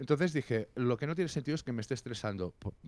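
Lively intonation marks this man's animated tone. The sound is dry, with no echo. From Catalonia. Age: 40s. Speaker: music critic and musician; interview guest, journalist. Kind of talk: casual interview. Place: home room. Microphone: handheld.

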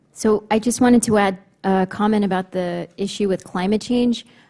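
A woman's somewhat breathy voice with a dark, mellow tone at a medium pitch, moderate pace, and monotone, flat intonation. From New Mexico, Navajo Nation. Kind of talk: panel briefing presentation.

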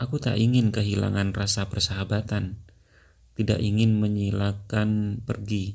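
A somewhat breathy man at a fairly low pitch and a moderate pace, with monotone, flat intonation. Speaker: audiobook narrator. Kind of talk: audiobook narration.

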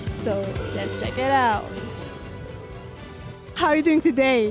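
Clear music sounds in the background while a woman speaks at a fairly slow pace. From Lebanon. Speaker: TV host. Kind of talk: TV host presenting, red carpet interviews. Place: hall. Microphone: handheld.

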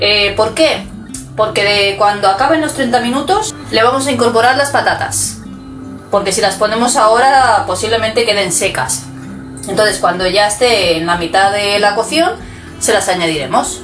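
Clear music runs in the background as a woman speaks at a moderate pace. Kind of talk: cooking tutorial. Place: kitchen. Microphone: phone near.

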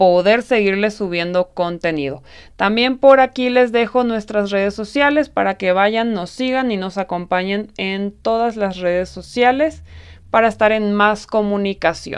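A woman speaks fairly slowly with ordinary pitch variation, set against a quiet background. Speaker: crochet tutorial host. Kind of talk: tutorial. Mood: warm, enthusiastic.

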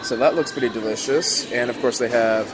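At a fairly quick pace, a man talks over clear music in the background. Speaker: vlogger touring a buffet. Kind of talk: casual vlog chat. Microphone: phone near.

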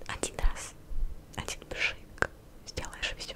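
A woman whispering. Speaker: ASMR content creator. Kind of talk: casual vlog chat. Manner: soft, congested voice of a cold. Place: home room. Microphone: studio mic.

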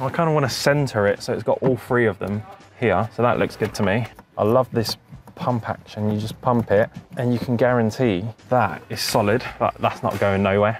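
A man talks at a medium pitch. His intonation stays fairly even.

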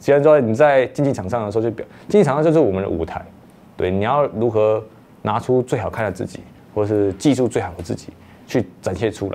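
Speaking at a very fast pace, a man breaks his speech with long, frequent pauses. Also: ordinary pitch variation. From Taiwan. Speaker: marathon runner. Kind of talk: interview monologue. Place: studio. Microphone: lapel.

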